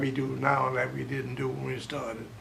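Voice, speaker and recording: Medium-pitched male speech at a moderate pace amid noticeable background noise. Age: 80s+. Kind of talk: interview answer. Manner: spry, spunky.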